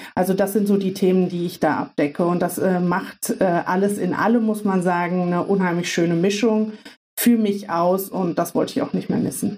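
A woman talks in an ordinary speaking voice at a medium pitch. Her intonation is fairly even and her pace moderate. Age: 30s. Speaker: business consultant. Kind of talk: casual interview. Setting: video call.

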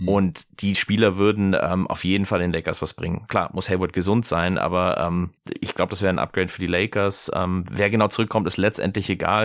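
A man talks at a very fast pace with a fairly low pitch and fairly even intonation in a very clean recording with a silent background. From Germany, American parents. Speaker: sportswear retail employee. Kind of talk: casual chat. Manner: hesitant, many fillers.

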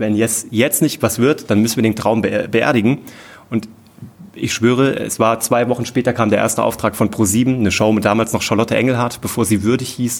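A medium-pitched male voice at a fairly quick pace. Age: 30s. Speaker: entrepreneur and TV producer. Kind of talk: live podcast interview. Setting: stage with audience. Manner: animated, with many filler sounds.

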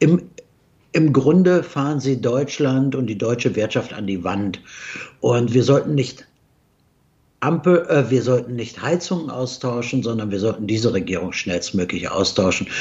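At a moderate pace, a man speaks with lively intonation and a somewhat breathy voice, leaving long, frequent pauses. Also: medium pitch for a man. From Germany. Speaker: investment strategist, company CEO. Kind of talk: interview. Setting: remote video call from Dubai. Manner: halting, many fillers.

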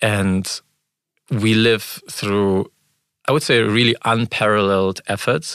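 Very slowly and with long, frequent pauses, a man speaks in a fairly low pitch with fairly even intonation. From Germany (Frankfurt), born in Ukraine. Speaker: startup founder and CEO. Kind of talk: interview. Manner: halting.

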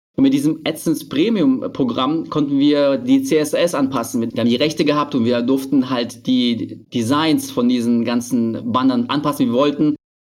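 A man speaks at a moderate pace and fairly high pitch in an unremarkable speaking voice, with hardly any pauses. His loudness is very even and his intonation fairly even. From Berlin, Germany. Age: 30s. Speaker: online marketing entrepreneur. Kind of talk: podcast interview.

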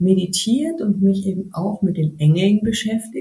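A woman speaks at a moderate pace with medium pitch and ordinary pitch variation. Noticeable background noise sits behind her. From Bavaria, near Munich. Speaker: yoga teacher. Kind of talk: casual interview.

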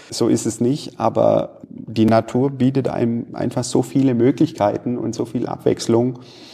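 A man at medium pitch in a monotone, flat intonation, fairly slow with hardly any pauses, over noticeable background noise. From Stuttgart area, Swabia. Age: 40s. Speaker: manufacturing executive. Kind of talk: interview.

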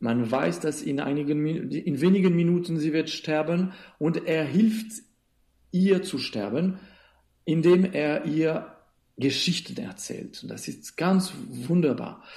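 Speaking at a very slow pace with long, frequent pauses, a man uses a fairly high pitch with ordinary variation and a dark, mellow tone. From Switzerland. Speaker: theatre director. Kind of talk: interview. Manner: halting, with frequent fillers and repetitions.

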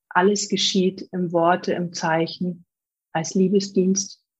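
A woman speaks at a medium pitch with a flat, monotone delivery. Her voice is somewhat breathy. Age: 40s. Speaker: spiritual medium. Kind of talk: interview.

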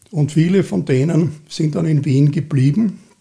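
A man with a dark, mellow tone and vocal fry speaks at a very slow pace and fairly high pitch. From Austria, Vienna. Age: 70s. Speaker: cultural association chairman. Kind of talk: interview. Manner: halting, many fillers.

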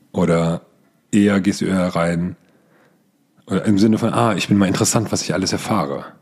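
A man talks at a fairly quick pace in a very deep, low pitch with ordinary pitch variation. He leaves long, frequent pauses. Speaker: podcast host and team coach. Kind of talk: solo podcast tutorial.

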